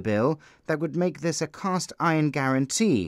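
A man with a normal speaking voice talks at a moderate pace and a fairly high pitch, with ordinary pitch variation. The sound is dry and close with no echo, on a very clean recording with a silent background. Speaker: news reporter. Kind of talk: news reading. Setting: broadcast news report. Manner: formal; measured, steady, and neutral.

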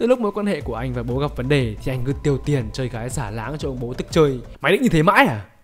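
A man with a fairly high pitch and lively intonation speaks while music plays in the background. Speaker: narrator. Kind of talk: comedic movie recap narration. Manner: joking, playful.

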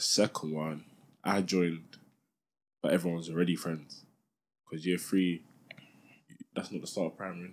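A man with a very deep, low pitch speaks at a fairly quick pace in a London accent, his intonation flat and monotone. Long pauses come often. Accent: London multicultural English. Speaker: podcast co-host. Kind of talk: casual chat.

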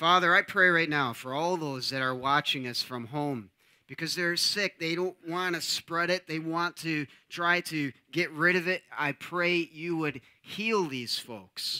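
Bright and sharp in tone, a man speaks at a fairly slow pace with ordinary pitch variation against a quiet background. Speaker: pastor or worship leader. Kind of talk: welcome and prayer. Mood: warm, earnest prayer. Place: church.

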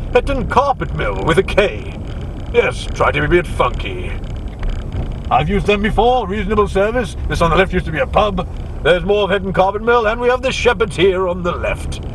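There is light background noise while a man speaks at a fairly quick pace. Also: dry sound with no echo. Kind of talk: casual tour commentary. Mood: light, joking. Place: car. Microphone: camera far.

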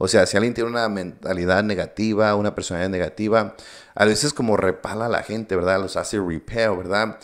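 A man speaks at a fairly quick pace in a fairly low pitch, with fairly even intonation. The background is quiet. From US, Coachella Valley, California, Mexican-American; California. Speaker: entrepreneur; podcast guest. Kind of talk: interview. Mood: reflective, sincere. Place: studio. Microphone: studio mic.

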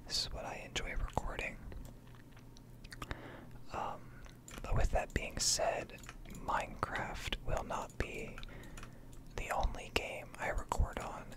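A man whispers at a very slow pace. He takes long, frequent pauses. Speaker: ASMR gaming content creator. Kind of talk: casual talk to camera, ASMR gaming ramble. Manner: soft-spoken, relaxed.

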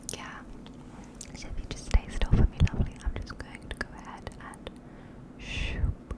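A woman whispers at a moderate pace with long, frequent pauses. Her loudness swings widely. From London. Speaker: ASMR artist. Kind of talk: ASMR personal attention roleplay. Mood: caring, affirming. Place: home room. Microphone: studio mic.

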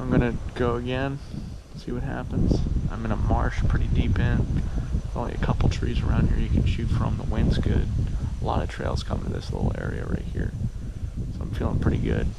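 Loud background noise surrounds the voice. A man talks at a fairly quick pace. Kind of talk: casual vlog chat. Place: open country. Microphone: phone near.

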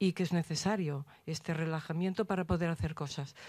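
A dark, mellow voice moves at a fairly quick pace with fairly even intonation. The sound is dry with no echo, over a quiet background. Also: woman. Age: old. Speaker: audience member. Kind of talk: audience question. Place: hall.

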